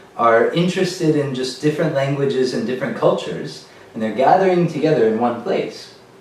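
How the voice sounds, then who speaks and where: A man at a fairly high pitch, moderate pace and ordinary pitch variation, with audible room echo and noticeable background noise. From born in America, French spoken at home. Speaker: language meetup organizer. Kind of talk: casual video introduction.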